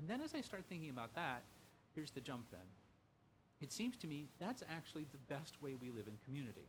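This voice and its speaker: Speaking with an American accent, a man with a fairly high pitch and a somewhat breathy voice moves at a fairly quick pace. His pitch swings very widely, broken by long, frequent pauses. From US Midwest, Lima, Ohio. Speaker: professor, humanities center director. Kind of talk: casual interview conversation. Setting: in person.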